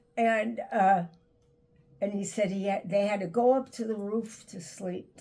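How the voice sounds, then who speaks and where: This woman has a New York accent. Her intonation stays fairly even. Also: medium pitch for a woman. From Brooklyn, New York. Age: 90s. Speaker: elder sharing life stories. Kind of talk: interview. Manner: halting.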